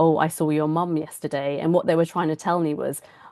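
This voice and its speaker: A woman talks at a fairly quick pace in a very deep, low voice, her intonation monotone and flat. The sound is dry and close with no echo, over a quiet background. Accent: British. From England. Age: 40s. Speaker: doctor and author. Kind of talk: keynote talk.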